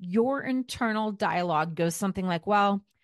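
Ordinary pitch variation marks the speech, given in an unforced reading voice.

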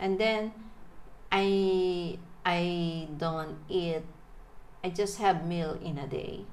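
Against noticeable background noise and audible room echo, a woman with a fairly low pitch speaks at a very slow pace, her intonation fairly even and her pauses long and frequent. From Philippines, Manila. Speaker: interviewee. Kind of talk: casual chat. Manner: halting.

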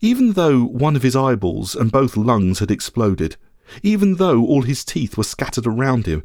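The clip features an unforced reading voice.

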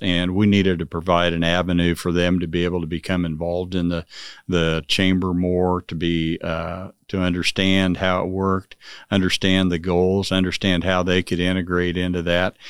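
In a Midwestern American accent, a man speaks at a very deep, low pitch and a moderate pace with monotone, flat intonation. The recording is very clean and dry, with a silent background and a close sound with no echo. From Manhattan, Kansas. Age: 60s. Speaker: construction company chairman. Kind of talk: casual interview.

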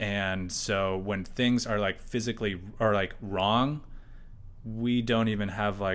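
An unremarkable speaking voice with an American accent moves at a fairly slow pace with fairly even intonation. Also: man. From USA. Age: 30s. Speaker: artist. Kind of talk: casual interview chat. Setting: artist's studio.

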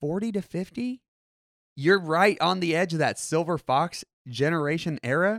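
At a moderate pace with ordinary pitch variation, the voice comes through a very clean recording with a silent background. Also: man, high pitch for a man, dry, close sound with no echo. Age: 20s. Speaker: podcast co-host. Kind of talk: casual chat. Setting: studio.

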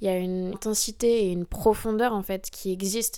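In an ordinary speaking voice, the woman holds a medium pitch. She keeps a moderate pace, her intonation fairly even. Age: 20s. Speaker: professional dancer. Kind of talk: interview.

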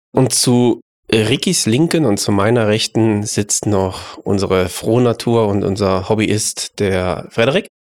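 The voice has a slightly mellow tone and ordinary pitch variation at a fairly slow pace. The recording is very clean, with a silent background. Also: man, fairly low pitch for a man.

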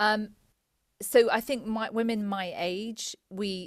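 A woman speaks at medium pitch with a southern English accent. The recording is very clean, with a silent background. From England, Cambridge area. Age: 40s. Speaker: psychotherapist. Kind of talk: interview conversation.

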